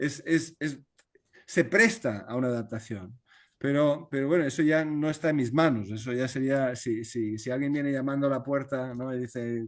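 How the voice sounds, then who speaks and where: Against a quiet background, a man with a Spanish accent talks at a moderate pace in a medium pitch with ordinary variation. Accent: Spanish (Spain). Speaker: novelist. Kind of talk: video conference talk, Q&A. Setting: video call. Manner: halting, many repetitions.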